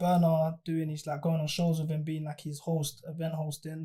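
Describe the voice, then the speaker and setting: A man talks at a very fast pace with a London accent. His fairly high voice has a dark, mellow tone. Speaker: artist manager. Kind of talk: casual chat.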